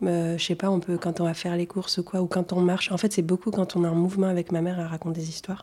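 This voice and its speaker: Fairly low in pitch, a woman talks at a fairly quick pace with a dark, mellow tone. Her intonation is monotone and flat. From Tunisia and Toulouse, France. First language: Arabic (speaking French). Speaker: storyteller. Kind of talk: casual chat.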